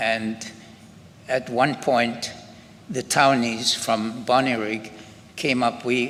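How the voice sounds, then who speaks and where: A man's medium-pitched voice in a flat monotone, very slow, with long, frequent pauses and noticeable background noise. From Scotland. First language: German. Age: 90s. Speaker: Holocaust survivor. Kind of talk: testimony. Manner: halting.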